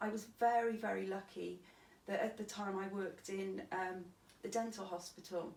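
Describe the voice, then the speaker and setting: In a Cardiff accent, a woman speaks at a medium pitch and moderate pace with fairly even intonation. Room echo is audible, and there is noticeable background noise. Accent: Welsh (Cardiff). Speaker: stabbing survivor. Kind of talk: interview testimony.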